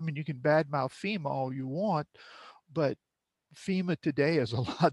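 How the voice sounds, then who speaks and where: A somewhat breathy man's voice, fairly high-pitched, at a moderate pace, with a dry, close sound and no echo. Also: quiet background. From South Louisiana (Cut Off, Lafourche Parish). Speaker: film director. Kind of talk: interview conversation.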